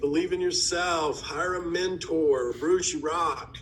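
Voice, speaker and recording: There is audible room echo. A man's voice carries through it. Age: 40s. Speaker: conference host and real estate investor. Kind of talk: live online event chat. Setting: video call. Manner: animated.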